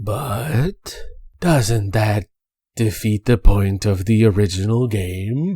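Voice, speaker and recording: A man's put-on character voice, fairly low and very slow, in a very clean recording with a silent background and a dry, close sound with no echo. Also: ordinary pitch variation. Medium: virtual streamer. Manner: clipped, formal.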